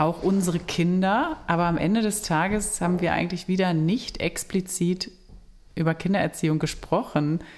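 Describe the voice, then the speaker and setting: Using a normal speaking voice, a woman talks at a moderate pace with fairly even intonation and a fairly low pitch. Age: 40s. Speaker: family counselor and podcast co-host. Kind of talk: casual chat.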